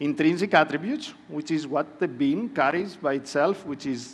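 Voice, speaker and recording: With a Greek accent, a man speaks at a moderate pace. His pitch is fairly high and his intonation lively. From Greece. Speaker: panel moderator. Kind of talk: conference presentation. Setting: conference room with audience.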